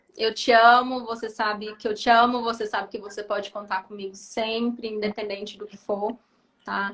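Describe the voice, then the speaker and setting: A woman's calm, fairly high voice at a moderate pace. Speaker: psychiatrist. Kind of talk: casual chat. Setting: video call.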